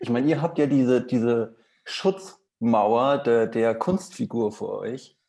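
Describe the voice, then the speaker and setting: Lively in intonation, a man speaks at a medium pitch in a dark, mellow tone. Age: 20s. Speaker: prop master, podcast guest. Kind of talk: casual chat.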